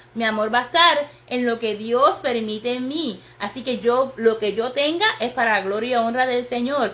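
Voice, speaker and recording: The speech comes at a moderate pace with an animated tone and ordinary pitch variation, carrying audible room echo and noticeable background noise. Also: woman, high pitch for a woman. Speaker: pastor. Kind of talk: sermon. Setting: livestream on social media.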